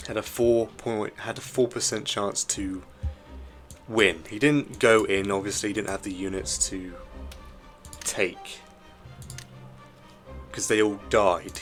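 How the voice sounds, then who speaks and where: Over music in the background, a man with a fairly low pitch talks at a fairly slow pace, with ordinary pitch variation and long, frequent pauses. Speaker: strategy game commentator. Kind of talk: gameplay commentary.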